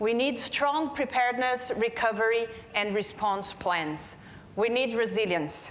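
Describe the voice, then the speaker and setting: A woman with a non-native accent speaks at a fairly high pitch and a fairly slow pace. Her intonation is lively, and room echo is audible. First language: Portuguese. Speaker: healthcare quality manager. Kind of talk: conference keynote talk.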